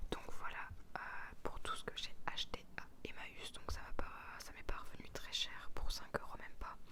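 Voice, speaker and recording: A woman is whispering. Her speech has long, frequent pauses. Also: fairly slow pace. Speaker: ASMR creator. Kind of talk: ASMR haul talk to camera. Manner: whispered.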